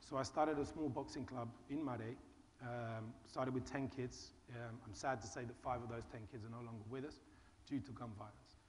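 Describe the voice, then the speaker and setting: Speaking at a fairly quick pace, a man with medium pitch and fairly even intonation is heard with audible room echo. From Britain. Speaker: charity founder. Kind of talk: panel discussion.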